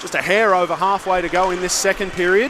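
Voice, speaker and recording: Fairly quick pace over noticeable background noise. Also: man. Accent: Australian. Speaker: ice hockey play-by-play commentator. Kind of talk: live commentary. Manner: loud.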